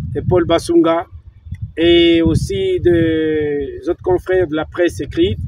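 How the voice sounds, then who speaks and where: A man speaks at a very slow pace. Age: 70s. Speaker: sports journalist. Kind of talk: interview testimony.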